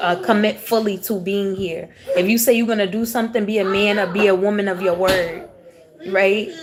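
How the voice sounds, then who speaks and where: A woman speaks at a medium pitch and a moderate pace. Her intonation stays fairly even, with noticeable background noise behind her. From US South, raised in Houston, Texas. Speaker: tarot reader. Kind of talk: live-stream tarot reading, casual spiritual talk. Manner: casual, conversational.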